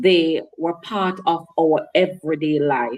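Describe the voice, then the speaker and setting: A woman's fairly low-pitched voice with music in the background. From Jamaica, Hanover, rural. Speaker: author and minister. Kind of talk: interview. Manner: formal.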